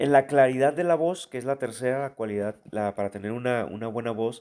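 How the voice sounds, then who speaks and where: Dark and mellow in tone, the voice moves at a moderate pace with ordinary pitch variation in a very clean recording with a silent background. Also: man. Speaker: preaching instructor. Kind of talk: lecture. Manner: conversational with fillers.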